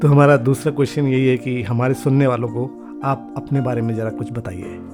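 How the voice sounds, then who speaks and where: Over music in the background, a man speaks at a moderate pace and medium pitch with fairly even intonation. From Lucknow, India. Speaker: podcast host. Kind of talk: podcast interview questions.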